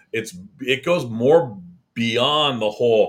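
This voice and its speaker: In a very clean recording with a silent background, a man of medium pitch speaks in an ordinary speaking voice with ordinary pitch variation. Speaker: podcast host. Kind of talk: casual chat.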